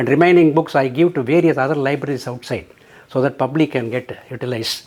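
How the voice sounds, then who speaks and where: A man speaks at a very fast pace. His pitch is fairly high and his intonation fairly even. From South India. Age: 80s+. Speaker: retired engineer, senior living resident. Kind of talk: testimonial interview. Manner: halting.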